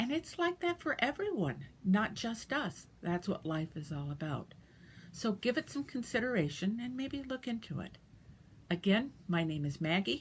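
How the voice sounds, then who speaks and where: A woman's somewhat breathy voice at a moderate pace with very wide pitch swings, on a very clean recording with a silent background. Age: 60s. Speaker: dialysis patient sharing experience. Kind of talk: personal advice talk. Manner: casual with fillers.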